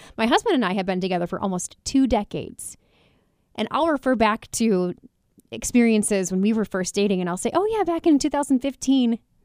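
With an unremarkable speaking voice, a woman talks fairly quickly at a fairly high pitch with lively intonation, in a very clean, dry, close recording with no echo and a silent background. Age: 30s. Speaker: radio host. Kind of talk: radio talk show. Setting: studio.

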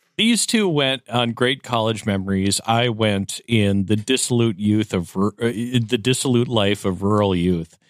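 A man with an American accent has an ordinary speaking voice at a medium pitch, with ordinary pitch variation and very even loudness. He keeps a moderate pace with hardly any pauses, and the recording is very clean with a silent background. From US Upper Midwest. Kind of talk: casual chat.

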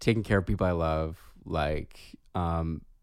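A man speaks in a very deep, low voice. His pace is fairly slow and his intonation fairly even. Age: 30s. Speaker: podcast co-host, therapist. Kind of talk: casual chat. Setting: remote recording.

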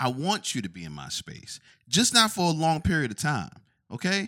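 A man with an American accent has a fairly high pitch and a bright, sharp tone, swinging very widely in pitch. The recording is very clean, with a silent background. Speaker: podcast co-host. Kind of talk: casual chat.

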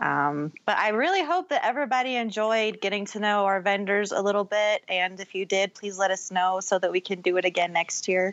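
With a plain, everyday voice, a woman of medium pitch speaks at a fairly quick pace with hardly any pauses. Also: ordinary pitch variation. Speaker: co-host of a Star Trek podcast. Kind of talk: casual chat.

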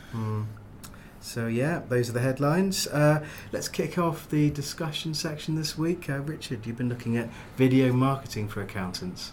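A somewhat breathy man at medium pitch, at a moderate pace with ordinary pitch variation. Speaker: podcast host. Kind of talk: casual chat.

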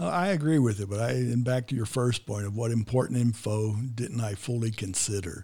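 Fairly quick, somewhat breathy speech in an American accent, dark and mellow in tone, with ordinary pitch variation and hardly any pauses. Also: man, medium pitch for a man. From United States. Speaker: podcast host. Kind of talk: interview. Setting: studio.

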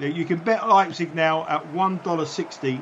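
A man with a fairly high pitch and ordinary pitch variation is heard against noticeable background noise. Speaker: betting analyst co-host. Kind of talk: live match commentary and betting analysis. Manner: measured, conversational, comments on the action as it happens.

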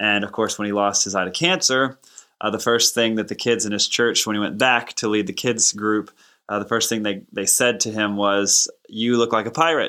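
A man with an ordinary speaking voice and fairly low pitch talks at a moderate pace in a very clean recording with a silent background. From Texas. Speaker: music publisher and audio drama writer. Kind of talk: interview.

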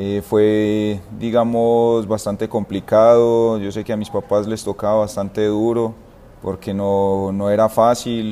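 The voice moves at a very slow pace in a dark, mellow tone. Its intonation stays monotone and flat. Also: man, fairly low pitch for a man. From Colombia, Itagüí (Antioquia). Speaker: professional footballer. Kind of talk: interview.

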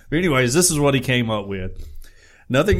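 A man with a Southern US accent is heard in a very clean recording with a silent background. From US South, Alabama. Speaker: podcast co-host. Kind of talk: reading news aloud; casual chat.

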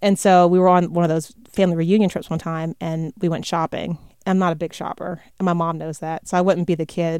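A woman's fairly low voice in an American accent, monotone and flat, at a fairly quick pace with hardly any pauses, in a dry, close sound with no echo and a very clean recording with a silent background. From US South, North Carolina (Raleigh). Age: 40s. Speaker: TV news anchor. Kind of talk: interview conversation.

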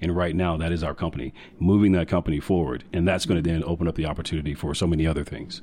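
Very fast delivery from a man, very deep and low in pitch, the intonation fairly even. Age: 40s. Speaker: communications firm owner. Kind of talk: casual interview.

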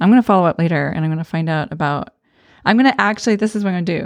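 A woman with an American accent speaks at a very fast pace, with a fairly low pitch and ordinary pitch variation. The sound is dry and close with no echo, against a quiet background. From Arizona. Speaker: podcast host. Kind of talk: casual chat.

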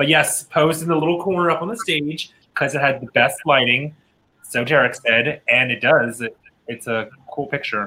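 An ordinary speaking voice from a man with an American accent, fairly high in pitch, with ordinary pitch variation and a moderate pace. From Pennsylvania. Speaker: drag queen co-host. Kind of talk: casual chat.

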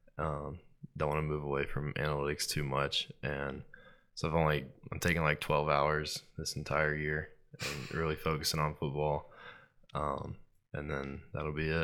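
An American man with vocal fry speaks at a moderate pace, his very deep, low voice bright and sharp in tone and his intonation monotone and flat. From Starkville, Mississippi. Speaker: college football player. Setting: studio. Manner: polite, short answers.

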